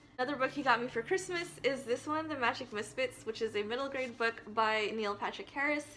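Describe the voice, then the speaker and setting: A woman talks at a fairly quick pace in a high voice, with ordinary pitch variation, hardly any pauses, and noticeable background noise. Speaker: book vlogger. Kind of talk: casual vlog talk. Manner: fast.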